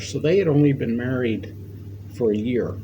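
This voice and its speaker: A man with an American accent speaks with ordinary pitch variation, with audible room echo and noticeable background noise. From New York State, US. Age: 70s. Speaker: war veteran. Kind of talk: oral history interview. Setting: library. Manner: halting.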